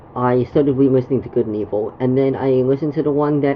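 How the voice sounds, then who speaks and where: Very fast and in a monotone, flat intonation, a woman with a very deep, low pitch speaks over noticeable background noise. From Canada. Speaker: gaming streamer. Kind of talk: casual chat. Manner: halting, many fillers and repetitions.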